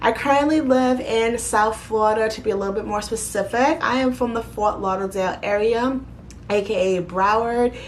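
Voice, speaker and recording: A woman with a New York accent, fairly high in pitch, at a moderate pace with ordinary pitch variation, amid noticeable background noise and audible room echo. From New York City (Bronx, Queens). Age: 30s. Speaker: YouTuber. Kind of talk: casual Q&A vlog.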